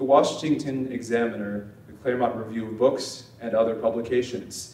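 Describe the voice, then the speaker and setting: With an American accent, a man speaks at a medium pitch and a moderate pace. Noticeable background noise and audible room echo fill the recording. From Nevada, Las Vegas. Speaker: think tank representative introducing speaker. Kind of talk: speaker introduction.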